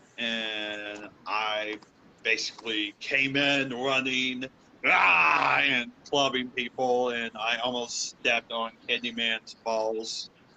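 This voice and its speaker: There is noticeable background noise behind this man. He speaks at a very slow pace and medium pitch. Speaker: professional wrestler. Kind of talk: interview. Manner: halting, many fillers.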